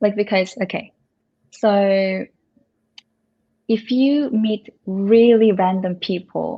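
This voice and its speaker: Speaking with a Korean accent, a woman uses a medium pitch and fairly even intonation. She goes at a very slow pace, with long, frequent pauses. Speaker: Korean language tutor. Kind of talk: casual chat. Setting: in a house.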